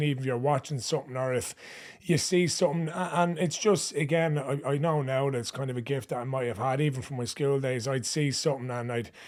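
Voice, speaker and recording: This man speaks very fast with a Dublin accent. His pitch sits fairly high and moves with ordinary variation. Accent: Dublin-sounding Irish. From Ireland, Ashbourne, County Meath. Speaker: comedian, content creator. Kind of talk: casual interview chat.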